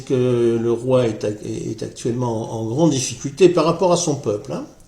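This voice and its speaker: The voice is somewhat breathy, with lively intonation and a fairly slow pace. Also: man. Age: 60s. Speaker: political commentary vlogger. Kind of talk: casual monologue vlog. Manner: halting, many hesitations and repetitions.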